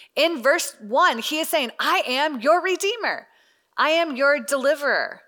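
A woman talks at a fairly slow pace in a raised, projected voice with a bright, sharp tone. Her pitch is high, with ordinary variation. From US South. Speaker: Bible study teacher. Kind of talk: Bible teaching to a women's group.

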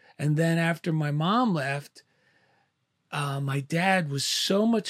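With a New Jersey accent, this somewhat breathy voice shows ordinary pitch variation in a very clean recording with a silent background and a dry, close sound with no echo. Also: man. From New Jersey, Clifton. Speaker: artist, author and military veteran. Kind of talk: casual interview chat. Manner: halting, many fillers.

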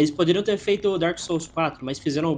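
Over noticeable background noise, a man talks at a fairly quick pace with a high pitch and ordinary pitch variation. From Brazil, Goiânia, Goiás. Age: 20s. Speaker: indie game developer. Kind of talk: interview. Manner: halting, repeats words.

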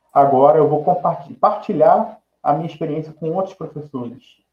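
Here is a man with an unremarkable speaking voice. His pitch varies in an ordinary way. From Nova Friburgo, Rio de Janeiro state, Brazil. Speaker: music educator specializing in inclusion. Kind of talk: interview on live podcast.

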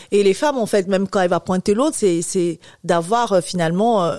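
Woman's voice with a dark, mellow tone, fairly quick pace, and ordinary pitch variation, on a very clean recording with a silent background. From Cameroon. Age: 30s. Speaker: infertility patient association president. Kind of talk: interview testimony.

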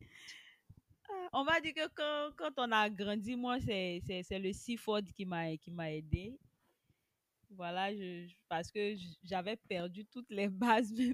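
A woman with a medium-pitched voice and lively intonation speaks at a very slow pace, with a dry, close sound and no echo. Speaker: teacher and web writer. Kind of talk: casual interview.

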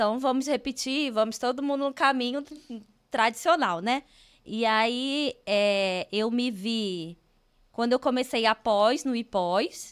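A woman speaks at a very slow pace in a high voice. Her pitch varies in an ordinary way, and the recording is very clean with a silent background. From Rio de Janeiro, Brazil. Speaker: civil engineer. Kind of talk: casual interview. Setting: studio.

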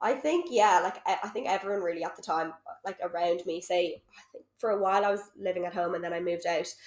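In a Dublin accent, a woman with a medium-pitched voice speaks very fast with fairly even intonation. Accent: Dublin Irish. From Ireland, Dublin. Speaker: social worker and coach. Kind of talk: casual chat. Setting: at home on a sofa.

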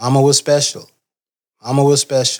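With a Southern US accent, a man speaks at a medium pitch. His pace is moderate. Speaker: family member. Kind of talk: storytelling.

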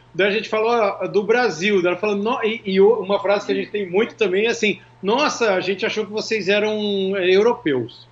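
Over noticeable background noise, a man talks in a high voice with fairly even intonation. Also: moderate pace. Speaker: singer and music producer. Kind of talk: casual interview chat.

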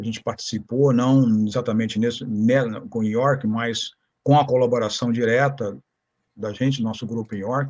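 A plain, everyday voice: a man at medium pitch, moderate pace and fairly even intonation. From Rio de Janeiro, Brazil. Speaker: historian. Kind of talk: interview, historical lecture.

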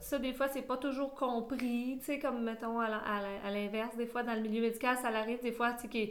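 In a Quebec accent, a woman with a high pitch speaks at a moderate pace with hardly any pauses, amid audible room echo. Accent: Québécois French. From Quebec, Sherbrooke. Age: 40s. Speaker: midwife. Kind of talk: interview. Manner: animated.

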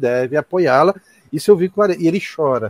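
A man talks fairly quickly at a fairly high pitch with ordinary pitch variation, in a plain, everyday voice. The sound is dry and close, with no echo. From Ceará, Brazil. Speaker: university professor and ufologist. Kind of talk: casual chat.

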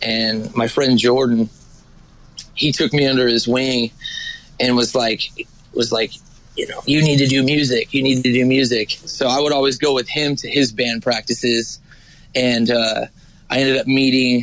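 A man at medium pitch speaks at a moderate pace in a flat monotone. Long, frequent pauses and noticeable background noise come through. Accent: American. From California high desert, Ridgecrest. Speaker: singer. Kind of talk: casual chat.

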